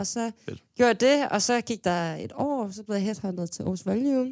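At a moderate pace, a woman with an ordinary speaking voice talks at a medium pitch with lively intonation. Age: 20s. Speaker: music booker, manager and DJ. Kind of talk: casual chat. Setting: studio.

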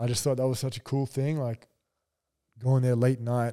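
A man speaks in an Australian accent at a fairly quick pace, his medium-pitched tone dark and mellow. The intonation is monotone and flat, and the sound is dry and close with no echo. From Brisbane, Australia. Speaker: professional basketball player. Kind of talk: casual chat.

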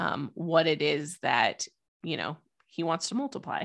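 Against a quiet background, a woman with a normal speaking voice talks at a fairly slow pace in a fairly low pitch. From US, Idaho. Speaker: podcast coach. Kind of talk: interview.

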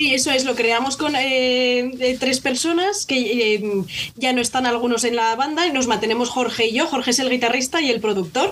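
Hardly pausing, a high-pitched woman speaks with very even loudness over noticeable background noise. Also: ordinary pitch variation, moderate pace. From Spain, Zaragoza (Aragon). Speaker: folk band violinist. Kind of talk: casual interview.

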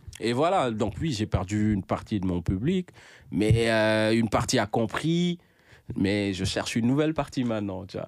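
A man with an unremarkable speaking voice talks at a moderate pace and a fairly low pitch. His intonation is lively, and the recording is very clean with a silent background. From Senegal, Dakar (Grand Yoff). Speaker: rapper. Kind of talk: casual interview.

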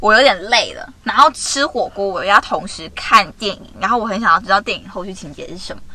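A woman's moderately paced speech is heard with noticeable noise behind it. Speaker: podcast co-host. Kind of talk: casual chat. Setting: in a car.

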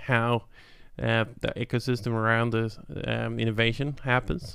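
A man speaks with a Swedish accent at a medium pitch. His delivery is monotone and flat at a fairly slow pace. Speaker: tech company founder and CEO. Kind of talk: interview. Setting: studio. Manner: halting.

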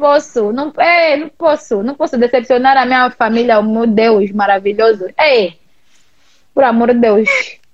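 A woman's high-pitched, animated voice at a fairly slow pace, with ordinary pitch variation and big swings in loudness. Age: 30s. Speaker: digital influencer. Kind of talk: casual chat.

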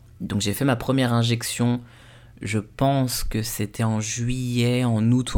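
Medium-pitched male speech at a fairly slow pace, fairly even in intonation and very even in loudness. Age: 20s. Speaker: podcast host. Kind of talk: personal testimony. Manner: halting, with repetitions.

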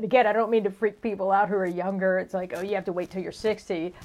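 A woman speaks very fast in a medium-pitched voice with monotone, flat intonation. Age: 60s. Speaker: podcast co-host. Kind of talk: casual chat. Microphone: crackling from scarf rubbing on mic.

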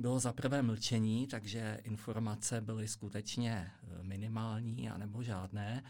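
A man at medium pitch, monotone and flat, at a very slow pace on a very clean recording with a silent background. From Czech Republic. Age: 50s. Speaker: economist and accountant. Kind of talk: interview. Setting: studio.

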